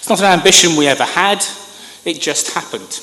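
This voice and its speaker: A man with a British accent and lively intonation, over noticeable background noise and audible room echo. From United Kingdom. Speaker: government communications expert. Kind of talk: conference speech.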